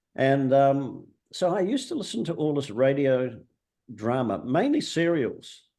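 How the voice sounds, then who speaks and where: There is audible room echo around a dark, mellow tone. The pace is fairly slow, with lively intonation. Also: man, fairly high pitch for a man. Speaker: author and screenwriter. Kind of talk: interview.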